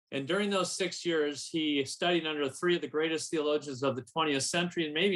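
At a fairly quick pace, a man speaks in a normal speaking voice with a fairly high pitch and ordinary pitch variation. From US Midwest, St. Paul, Minnesota. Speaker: publishing marketing and sales director. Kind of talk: radio interview.

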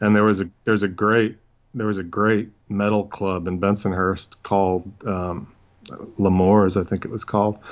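A man's monotone, flat intonation holds across his moderate pace. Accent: American. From New York City, Brooklyn. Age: 40s. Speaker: crime novelist. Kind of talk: casual chat.

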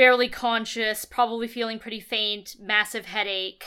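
The clip features a natural reading voice.

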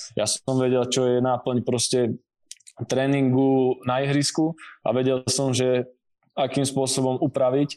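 A man's medium-pitched voice, dark and mellow in tone, flat and monotone, at a fairly slow pace. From southern Slovakia, Rimavská Sobota. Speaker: strength and conditioning coach. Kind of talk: interview conversation.

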